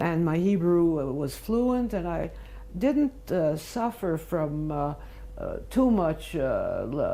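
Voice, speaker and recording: A woman with a New York accent at a very slow pace, amid audible room echo and noticeable background noise. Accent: American English, New York. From US Northeast, Brooklyn New York, childhood years in Mandatory Palestine. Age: 90s. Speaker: interviewee recounting life history. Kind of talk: oral history interview. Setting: at home, filmed interview. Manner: halting, frequent fillers.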